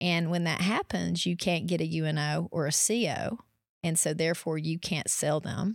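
A woman's fairly low voice in a Tennessee accent, with vocal fry, fairly even intonation and very even loudness, on a very clean recording with a silent background. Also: moderate pace. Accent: Southern US (Tennessee). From East Tennessee. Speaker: realtor. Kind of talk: podcast interview.

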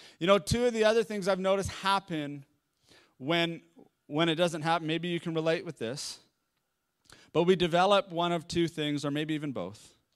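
A man's high voice with a Canadian accent, ordinary pitch variation, a moderate pace and long, frequent pauses, on a very clean recording with a silent background. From Victoria, British Columbia, Canada. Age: 40s. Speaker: pastor. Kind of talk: sermon.

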